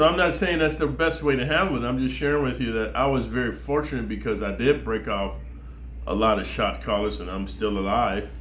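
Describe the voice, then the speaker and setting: With an American accent and very wide pitch swings, a man at a fairly low pitch talks at a fairly quick pace in audible room echo. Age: 60s. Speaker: former prisoner storyteller. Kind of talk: casual monologue. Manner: casual, slangy.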